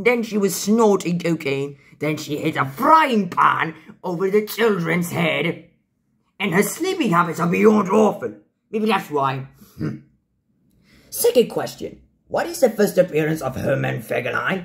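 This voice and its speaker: A man performs a put-on character voice pitched high. He leaves long, frequent pauses. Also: moderate pace. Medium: role play. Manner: upbeat, playful.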